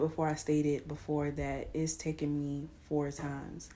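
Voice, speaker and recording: Quiet and very slow, a woman's voice carries audible room echo. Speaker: vlogger. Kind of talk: casual monologue. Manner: quiet, keeping voice down; halting, many fillers.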